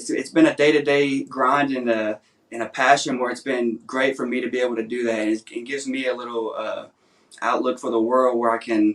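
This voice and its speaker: A man's medium-pitched, fairly quick delivery in a Southern US accent with monotone, flat intonation. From Nashville, Tennessee. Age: 20s. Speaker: songwriter contestant. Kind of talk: interview.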